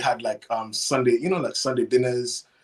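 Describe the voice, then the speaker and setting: A man with a Caribbean accent speaks at a fairly quick pace. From Cayman Islands. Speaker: chef and food business owner. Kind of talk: interview.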